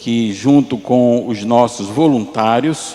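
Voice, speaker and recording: With a Pernambuco accent, the speaker shows ordinary pitch variation over noticeable background noise. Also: man. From Pernambuco, Brazil. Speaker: missionary pastor. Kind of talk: sermon.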